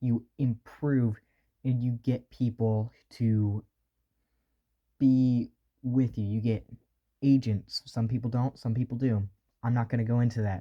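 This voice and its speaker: A man at medium pitch, dark and mellow in tone, flat and monotone, with long, frequent pauses. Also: fairly slow pace. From US South. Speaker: beginner voice actor, video creator. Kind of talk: tutorial. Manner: casual, conversational.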